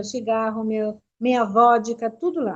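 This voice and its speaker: At a fairly slow pace, a woman talks in an unremarkable speaking voice with a fairly high pitch. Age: 60s. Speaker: missionary. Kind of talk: testimony.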